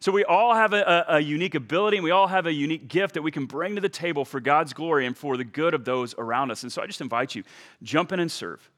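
A man's fairly high voice at a very fast pace, lively in intonation, with hardly any pauses. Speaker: pastor. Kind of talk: sermon. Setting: church.

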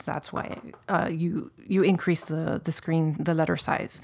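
This woman has a normal speaking voice and a fairly low pitch. She talks at a moderate pace. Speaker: creative director, former nutritionist. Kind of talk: casual interview chat. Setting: studio. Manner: friendly, upbeat.

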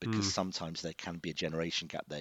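A man's very deep, low voice at a very fast pace. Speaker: head of English teacher at a school. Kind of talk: casual interview. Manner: articulate, measured.

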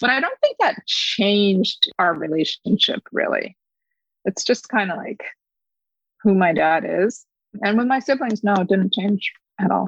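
Somewhat breathy, a woman speaks with long, frequent pauses in a dry, close sound with no echo. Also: medium pitch for a woman, ordinary pitch variation, fairly slow pace. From upstate New York, US. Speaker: adoptee sharing her story. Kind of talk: personal story interview. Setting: podcast interview.

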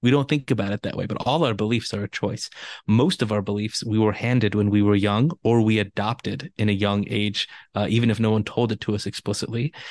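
With a Californian accent, this voice moves at a fairly quick pace with fairly even intonation, dry and close with no echo, over a quiet background. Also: man, fairly low pitch for a man. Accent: Californian American English. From Los Angeles. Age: 30s. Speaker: spiritual teacher and author. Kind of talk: interview conversation.

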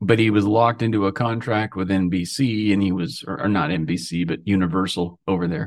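At a fairly quick pace with hardly any pauses, a man with an American accent and a fairly low pitch speaks with ordinary pitch variation. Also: quiet background. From US, coastal Oregon. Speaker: drummer and record producer. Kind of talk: interview, casual chat.

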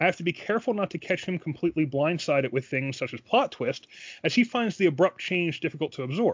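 A man with a fairly high pitch races along at a very fast pace, his intonation lively. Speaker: podcast host and dungeon master. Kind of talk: casual chat.

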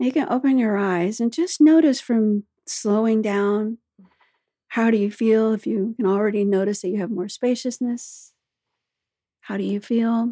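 This woman speaks at a fairly slow pace with a fairly high pitch and ordinary pitch variation. Her tone is dark and mellow, and the sound is dry and close with no echo. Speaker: breathwork coach. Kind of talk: guided breathwork meditation. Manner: calm, slow, rhythmic counting cadence; soothing, instructive.

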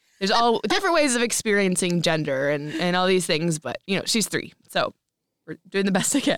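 Recorded dry and close with no echo, a woman at a medium pitch speaks in a plain, everyday voice, fairly quick and with lively intonation. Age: 30s. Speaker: podcast co-host, mother. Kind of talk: casual chat.

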